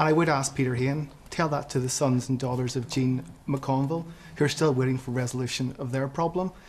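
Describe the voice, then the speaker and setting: In a Northern Irish accent, a man speaks at a moderate pace with fairly high pitch and fairly even intonation. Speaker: audience member. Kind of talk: televised panel debate. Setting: studio with audience.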